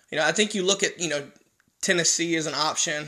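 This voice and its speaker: A man with an American accent, very fast, fairly high in pitch, bright and sharp in tone, with fairly even intonation. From North Carolina. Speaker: sports podcast host. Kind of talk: solo sports commentary. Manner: casual, many filler words.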